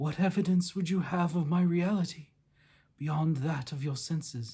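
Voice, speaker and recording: A man does a fairly high-pitched, put-on character voice at a moderate pace in a very clean recording with a silent background. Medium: read story. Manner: solemn, sepulchral.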